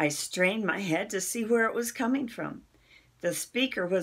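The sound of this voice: Here is an unforced reading voice. The pitch shows ordinary variation.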